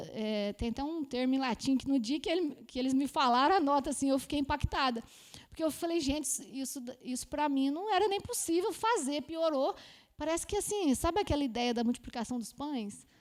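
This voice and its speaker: A woman's high voice in a strong Minas Gerais accent, at a fairly quick pace, on a very clean recording with a silent background. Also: lively intonation. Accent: strong mineiro Brazilian Portuguese. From Minas Gerais, Brazil. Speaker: author and philosophy scholar. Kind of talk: interview testimony. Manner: fast.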